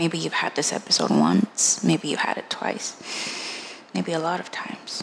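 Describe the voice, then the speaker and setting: With hardly any pauses, a woman whispers against noticeable background noise. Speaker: podcast host. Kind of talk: personal testimony monologue. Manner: halting, repeating and trailing off; quiet, low voice.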